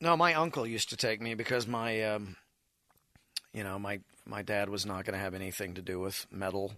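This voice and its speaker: Bright and sharp in tone, a man speaks at a fairly low pitch. His pace is fairly quick and his pitch varies in an ordinary way. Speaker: music show host. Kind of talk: casual chat. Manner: animated, energetic.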